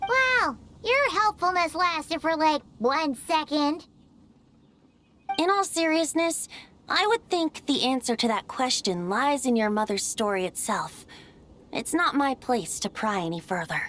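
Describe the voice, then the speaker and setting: This put-on character voice is high-pitched and moves at a moderate pace with very wide pitch swings. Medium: video game. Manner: light, playful, frequent laughter.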